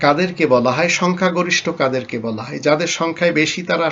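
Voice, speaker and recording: A man speaks at a fairly high pitch with vocal fry and ordinary pitch variation. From Bangladesh. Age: 50s. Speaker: Islamic preacher. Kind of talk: religious lecture.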